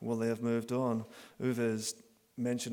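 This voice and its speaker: A man with a Northern Irish accent talks at a medium pitch and moderate pace in a very clean recording with a silent background. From Northern Ireland. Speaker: professor. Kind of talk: conference talk.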